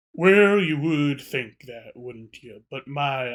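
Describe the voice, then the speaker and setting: Putting on a character voice, a man talks at a very slow pace with a fairly high pitch and lively intonation. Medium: actual play. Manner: laid-back, mildly courteous.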